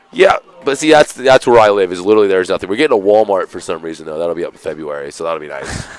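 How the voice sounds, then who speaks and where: A man with an American accent talks at a very fast pace in a fairly low voice, with very wide pitch swings. The sound is dry and close with no echo, though background noise is noticeable. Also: big swings in loudness. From Seattle, US Pacific Northwest. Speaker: esports commentator. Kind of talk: casual chat during live stream commentary.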